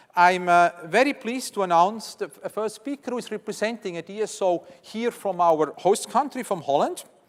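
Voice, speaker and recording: A man with a Swiss accent and lively intonation. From Switzerland. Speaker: conference session moderator. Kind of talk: conference session introduction. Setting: conference stage with audience.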